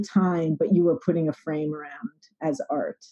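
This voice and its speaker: With an American accent, a woman speaks at a fairly low pitch in a dark, mellow tone. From US Northeast, New York City. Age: 60s. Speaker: artist and healer. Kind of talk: interview. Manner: hesitant, many fillers.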